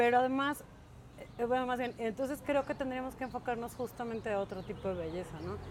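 Moderate speed and ordinary pitch variation in a woman's high voice. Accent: Mexican. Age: 40s. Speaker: podcast co-host. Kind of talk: casual chat.

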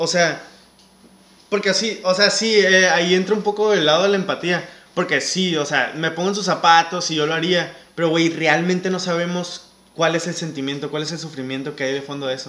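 This man speaks in a Mexican accent at a high pitch and a moderate pace. His intonation is fairly even. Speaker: podcast host. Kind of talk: casual chat.

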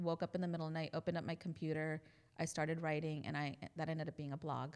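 A woman with an American accent talks at a very fast pace. Her very deep, low voice stays monotone and flat. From New Jersey, Indian family. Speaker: pharmacist, church member. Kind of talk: interview, personal story.

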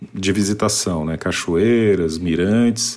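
At a fairly slow pace, a man with an unremarkable speaking voice talks with ordinary pitch variation. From Paraná, Brazil. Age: 40s. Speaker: civil servant. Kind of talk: testimony.

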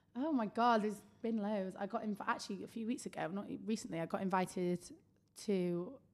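A woman with a normal speaking voice talks at a fairly quick pace, using a medium pitch and ordinary pitch variation. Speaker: social media influencer. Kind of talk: casual chat.

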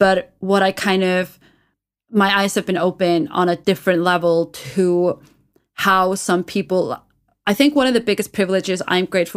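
A woman with medium pitch talks at a moderate pace with ordinary pitch variation in a plain, everyday voice. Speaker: podcast co-host. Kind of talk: casual chat. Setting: remote call.

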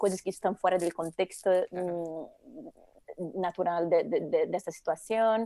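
A woman with a Brazilian accent, medium pitch, dark and mellow tone, ordinary pitch variation, fairly slow pace, dry and close sound with no echo. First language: Portuguese (speaking Spanish). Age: 40s. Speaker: eco-designer. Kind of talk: interview.

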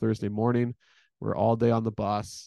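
A man with a Canadian accent, fairly quick and monotone in flat intonation, medium-pitched with a dark, mellow tone, in a dry, close sound with no echo. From Edmonton, Alberta, Canada. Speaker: women's college basketball head coach. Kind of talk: casual interview.

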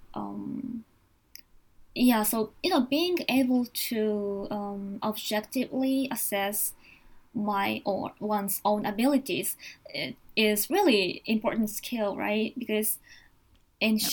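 A woman talks very slowly in a somewhat breathy voice. She has a Japanese accent. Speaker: psychiatrist. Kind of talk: casual bilingual discussion. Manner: hesitant, many fillers.

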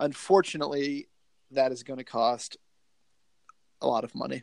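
A man with a Southern US accent talks at a fairly high pitch and a fairly quick pace, recorded dry and close with no echo. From US South, Georgia. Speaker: podcast host, video store movie fan. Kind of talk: casual chat. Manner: joking, profane.

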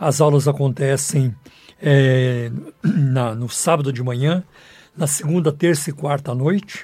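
The voice is dark and mellow, and somewhat breathy. The pace is fairly slow. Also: man, fairly high pitch for a man, ordinary pitch variation. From Brazil, southern Minas Gerais. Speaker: pastor and radio host. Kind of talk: sermon. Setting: radio studio.

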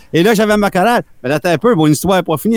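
A man with a high-pitched voice speaks with ordinary pitch variation in a dry, close recording with no echo. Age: 50s. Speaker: musician. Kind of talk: casual interview.

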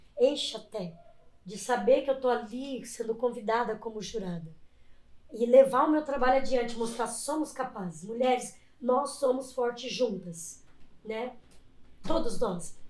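A woman's high-pitched voice at a fairly slow pace, with long, frequent pauses and big swings in loudness. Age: 40s. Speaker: body modification artist and competition judge. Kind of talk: casual chat. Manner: animated.

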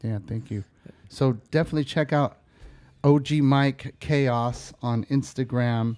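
In an American accent, a man speaks very slowly with a dark, mellow tone, on a very clean recording with a silent background and a dry, close sound with no echo. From Bay Area, California. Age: 40s. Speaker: podcast host, former hip-hop artist. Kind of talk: casual interview.

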